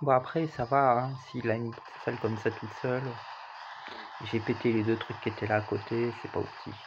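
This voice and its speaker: A man at a medium pitch speaks at a moderate pace with fairly even intonation. His speech has long, frequent pauses, and noticeable background noise is present. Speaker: gaming YouTuber. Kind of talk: gameplay commentary. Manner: casual, conversational.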